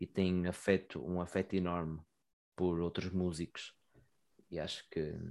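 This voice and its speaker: In a very clean recording with a silent background, a man with a European Portuguese accent speaks fairly slowly at a very deep, low pitch, monotone and flat, with long, frequent pauses. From Portugal, Santa Maria da Feira area. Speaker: musician. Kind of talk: casual chat. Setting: wearing a dog mask.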